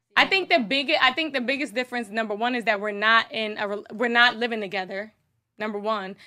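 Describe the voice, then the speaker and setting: A woman's fairly high, bright, sharp voice at a fairly quick pace, with ordinary pitch variation. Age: 30s. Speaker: podcast co-host. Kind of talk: casual chat.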